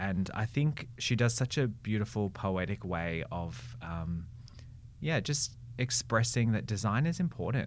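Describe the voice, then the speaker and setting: A man with an Australian accent, his pitch fairly low, his pace fairly slow. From Melbourne, Australia. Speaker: brand and marketing strategist. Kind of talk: interview.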